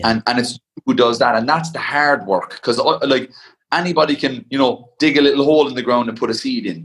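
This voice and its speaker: With a Cork accent, a man talks at a fairly quick pace, his fairly high pitch carried by lively intonation. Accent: Cork Irish. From Ireland, County Cork. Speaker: ultra endurance athlete. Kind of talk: casual interview.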